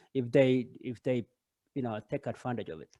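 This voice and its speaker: A man speaks with a Kenyan accent in a dry, close sound with no echo. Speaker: parent and running coach. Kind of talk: casual chat. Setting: video call. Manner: halting, many fillers.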